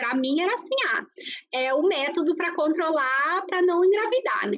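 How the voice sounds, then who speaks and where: The voice has a Brazilian accent and very wide pitch swings. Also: woman. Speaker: nutritionist. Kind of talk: interview. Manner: hesitant, many fillers.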